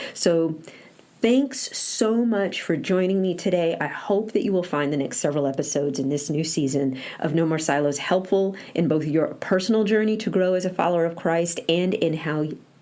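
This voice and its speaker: A woman with an American accent speaks in a fairly low pitch with lively intonation and very even loudness. Audible room echo and noticeable background noise are present. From northern US. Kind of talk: solo podcast monologue. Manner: fast.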